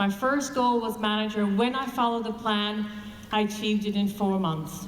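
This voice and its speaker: With noticeable background noise and audible room echo, a woman speaks at a fairly high pitch and a moderate pace with fairly even intonation. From Canada. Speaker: network marketing distributor. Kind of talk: motivational speech.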